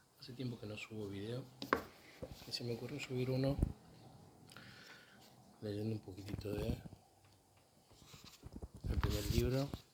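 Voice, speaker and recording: A soft-spoken man talks at a moderate pace and medium pitch with fairly even intonation and long, frequent pauses. Noticeable background noise runs underneath. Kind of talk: casual talk to camera.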